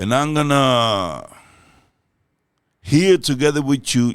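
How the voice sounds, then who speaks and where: A man with a Spanish accent speaks at a very slow pace on a very clean recording with a silent background. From Dominican Republic. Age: old. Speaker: reaction youtuber. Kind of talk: casual chat. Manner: halting.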